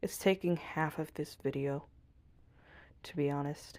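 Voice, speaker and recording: A soft-spoken woman talks with a dark, mellow tone and very deep, low pitch. Her intonation is fairly even, and the recording is very clean with a silent background. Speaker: art channel creator. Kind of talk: drawing tutorial voiceover. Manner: soft-spoken, very quiet; casual, self-talking.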